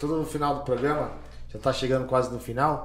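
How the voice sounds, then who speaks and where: A man talks at a medium pitch in a flat monotone. The room adds audible echo. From Brazil, Carapicuíba (São Paulo area). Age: 40s. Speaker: city councillor and podcast host. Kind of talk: casual chat.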